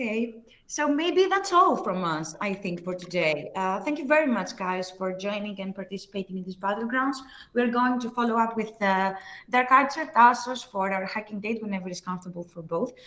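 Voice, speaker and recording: Someone with a Greek accent speaks at a moderate pace with lively intonation over noticeable background noise. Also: woman, fairly high pitch for a woman. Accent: Greek accent, self-described as horrible. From Greece. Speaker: livestream host. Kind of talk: live stream wrap-up chat. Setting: live stream.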